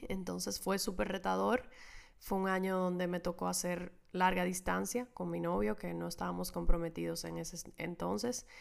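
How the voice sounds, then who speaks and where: A woman talks at a moderate pace in a very clean recording against a silent background. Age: 20s. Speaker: podcast host. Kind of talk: solo monologue.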